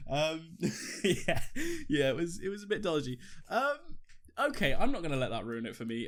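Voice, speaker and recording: A man with a Welsh accent at a fairly quick pace, on a very clean recording with a silent background. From Wales. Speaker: podcast co-host. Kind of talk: casual chat.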